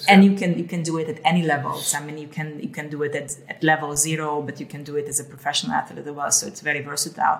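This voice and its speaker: A woman with a very deep, low pitch, monotone delivery, a very fast pace, hardly any pauses, big swings in loudness, and noticeable background noise. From Hungary. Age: 50s. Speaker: health coach, former airline executive. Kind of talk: casual chat.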